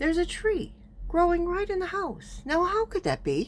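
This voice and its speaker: A squeaky, put-on character voice carries the speech. It moves at a moderate pace. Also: woman, extremely high pitch for a woman. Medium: read story.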